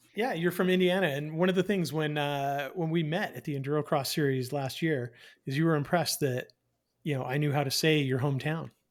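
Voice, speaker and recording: A man with a plain, everyday voice and fairly high pitch, at a fairly quick pace, in a very clean recording with a silent background. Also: ordinary pitch variation. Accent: Canadian. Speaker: podcast host. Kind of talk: podcast interview.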